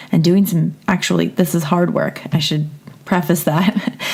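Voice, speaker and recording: The tone is calm and relaxed. Noticeable background noise runs behind it. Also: woman. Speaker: podcast host and therapist. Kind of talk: casual intro to a guided meditation. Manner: calm, relaxed.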